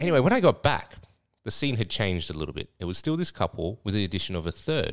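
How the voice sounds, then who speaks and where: A man with an Australian accent talks at a very fast pace, his pitch swinging very widely. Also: fairly low pitch for a man. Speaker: podcast co-host and club owner. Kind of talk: casual chat.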